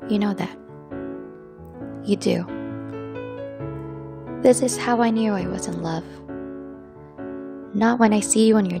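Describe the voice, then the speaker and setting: A woman speaks with music in the background. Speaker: spoken word poet. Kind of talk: spoken word poetry performance. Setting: over background piano music.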